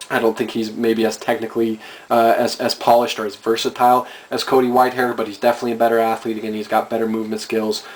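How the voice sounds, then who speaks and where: Over noticeable background noise, a man talks very fast at a medium pitch, his intonation monotone and flat. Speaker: fan video commentator. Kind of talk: casual monologue.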